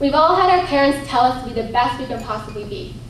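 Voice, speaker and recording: With an American accent, a woman talks at a very fast pace amid noticeable background noise and audible room echo. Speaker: pageant contestant. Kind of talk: prepared speech.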